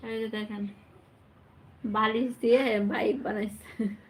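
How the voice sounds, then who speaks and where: Noticeable background noise is audible. Over it, a woman talks in a fairly high pitch. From Bangladesh. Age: 20s. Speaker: vlogger. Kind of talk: casual live chat with viewers. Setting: at home at night with her child.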